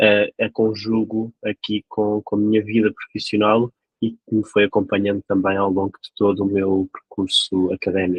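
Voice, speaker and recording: A man's fairly low-pitched, monotone, flat voice at a moderate pace, with hardly any pauses. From Portugal, Lisbon. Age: 30s. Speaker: local election candidate. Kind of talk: interview. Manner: hesitant, many fillers.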